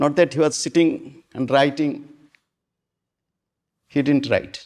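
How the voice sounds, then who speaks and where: Recorded very cleanly with a silent background, a man talks very slowly at a fairly high pitch. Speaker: spiritual teacher. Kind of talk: spiritual discourse to an audience.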